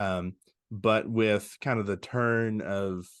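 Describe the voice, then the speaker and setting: This man talks with a Southern US accent and fairly even intonation. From Arkansas (West Memphis). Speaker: pastor. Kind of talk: casual interview chat. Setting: video podcast interview.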